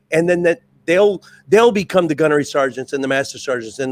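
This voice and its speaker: A man speaks with a high voice and lively intonation, recorded dry and close with no echo. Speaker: Marine veteran, former drill instructor. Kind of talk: casual chat.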